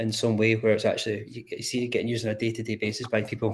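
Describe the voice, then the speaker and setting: Somewhat breathy, a man speaks with a Scottish accent. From Scotland. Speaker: crypto community builder. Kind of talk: casual chat. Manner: halting.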